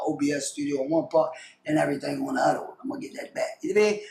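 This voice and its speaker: A man's animated, very fast speech with very wide pitch swings over noticeable background noise. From Maryland, Baltimore. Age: 30s. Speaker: streamer and YouTuber. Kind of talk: casual chat.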